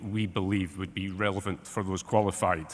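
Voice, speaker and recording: A man talks at a very fast pace. He has a strong British accent. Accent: strong regional accent, UK. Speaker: academic researcher, expert witness. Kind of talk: expert testimony at tribunal hearing.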